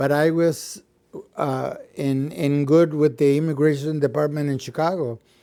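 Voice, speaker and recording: A fairly high-pitched man with a dark, mellow tone and fairly even intonation. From Mexico. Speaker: retired musician. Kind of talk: interview answer.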